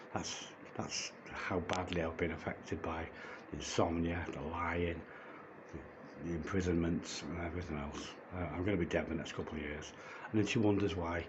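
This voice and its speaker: A man's very deep, low voice with a British accent, monotone, flat intonation and a fairly quick pace, with audible room echo and noticeable background noise. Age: 60s. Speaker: vlogger. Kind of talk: personal testimony vlog. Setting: holding a phone. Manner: halting with stammered repetitions; agitated.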